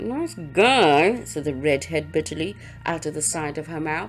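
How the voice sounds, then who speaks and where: A woman speaks while music plays in the background. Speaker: audiobook narrator. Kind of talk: audiobook reading.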